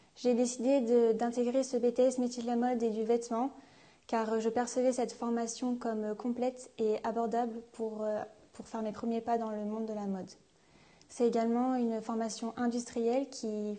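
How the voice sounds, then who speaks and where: Her voice has a dark, mellow tone and fairly high pitch, and the woman keeps her intonation monotone and flat. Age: young. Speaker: fashion student. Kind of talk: testimony.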